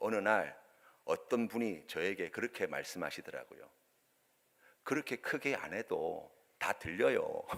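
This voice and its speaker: The man's speech is fairly slow. Long pauses come often between his words. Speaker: pastor. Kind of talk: sermon. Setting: church.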